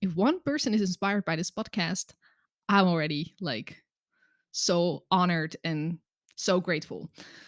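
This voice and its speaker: The recording is very clean, with a silent background and a dry, close sound with no echo. A woman speaks fairly slowly at a medium pitch, with ordinary pitch variation. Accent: Dutch. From Netherlands. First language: Dutch. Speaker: podcast host, coach. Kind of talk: solo podcast monologue. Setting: boyfriend's home office. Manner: hesitant, frequent repetitions.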